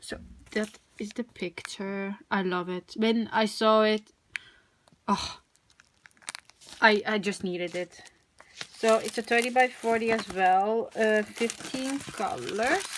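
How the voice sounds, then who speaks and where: With a non-native accent, the speaker goes very slowly, leaving long and frequent pauses. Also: woman, fairly high pitch for a woman, ordinary pitch variation. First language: not English. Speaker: crafting video creator. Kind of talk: product unboxing, casual. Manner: hesitant, many fillers.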